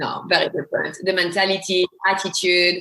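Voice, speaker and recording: Talking at a fairly quick pace, a woman with a strong French accent speaks at a medium pitch. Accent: heavy French. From France. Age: 40s. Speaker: actor. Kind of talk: interview.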